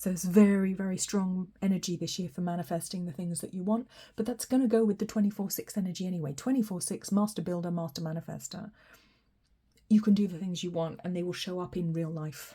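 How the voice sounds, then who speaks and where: A woman at a very fast pace, medium-pitched, somewhat breathy, with a dark, mellow tone and ordinary pitch variation. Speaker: tarot reader. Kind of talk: tarot reading. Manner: animated.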